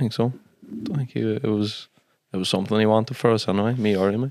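A man with a Donegal accent at a medium pitch, very fast yet with long, frequent pauses, in a fairly even intonation. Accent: Donegal Irish. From Donegal, Ireland. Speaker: guest, nephew of host. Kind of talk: casual chat.

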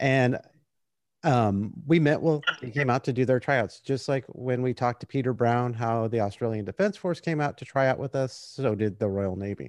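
In a quiet background, a man with an ordinary speaking voice talks at a medium pitch and moderate pace, with ordinary pitch variation. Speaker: podcast host, US Navy veteran. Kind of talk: interview conversation.

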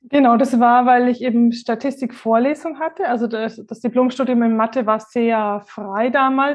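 Here a woman talks at a fairly high pitch with fairly even intonation. It is an unremarkable speaking voice. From Franconia, Germany (near Würzburg). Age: 30s. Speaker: statistics consultant. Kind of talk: interview.

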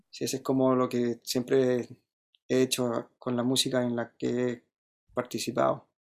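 A man speaks at a moderate pace in a Chilean accent. His intonation is monotone and flat. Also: medium pitch for a man. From Chile, Santiago. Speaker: musician. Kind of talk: casual chat. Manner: halting.

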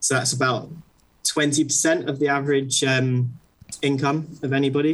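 Speaking with a London accent at a fairly slow pace, a man holds a very even loudness and a monotone, flat intonation at a fairly high pitch, his voice somewhat breathy. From London, England. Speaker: law student and political commentator. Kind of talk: remote interview.

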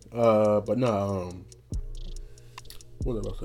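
Someone talks at a very slow pace while music plays in the background. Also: man. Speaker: podcast host. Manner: monotone.

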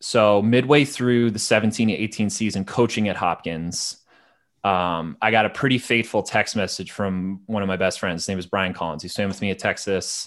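A man's fairly low voice at a moderate pace, a plain, everyday voice with ordinary pitch variation, on a very clean recording with a silent background. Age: 30s. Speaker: swimmer and swim coach. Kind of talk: casual chat.

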